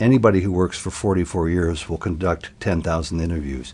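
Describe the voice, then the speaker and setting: A man with a very deep, low pitch speaks in a somewhat breathy way. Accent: American. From US. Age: 60s. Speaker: television journalist. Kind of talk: interview.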